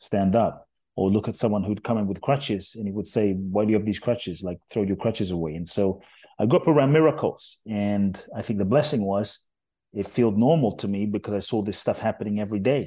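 A man's dark, mellow voice at a fairly quick pace, with ordinary pitch variation over a quiet background. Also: fairly low pitch for a man. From London, England. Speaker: spiritual teacher and author. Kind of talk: interview.

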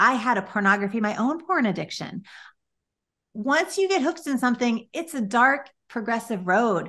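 Against a quiet background, a woman with an American accent speaks in an animated tone at a fairly high pitch. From Chicago. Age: 50s. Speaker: nonprofit founder and pastor. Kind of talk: interview.

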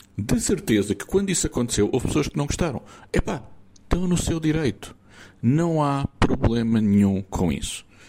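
Very wide pitch swings, a dark, mellow tone and a moderate pace. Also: man, fairly high pitch for a man. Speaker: listener sending voice message. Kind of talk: recorded voice message. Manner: animated.

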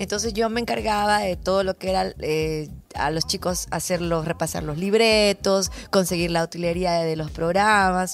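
This very clean recording has a silent background. A woman speaks at a moderate pace in a fairly low pitch with ordinary pitch variation. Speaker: TV presenter and voice-over artist. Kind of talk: interview. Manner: hesitant fillers.

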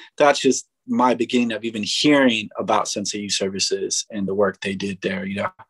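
Speaking at a fairly quick pace with hardly any pauses, a man with an American accent sounds dry and close, with no echo. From San Francisco (Mission District). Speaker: rapper, youth program creative lead. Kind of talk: casual interview chat. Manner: laid-back, slangy.

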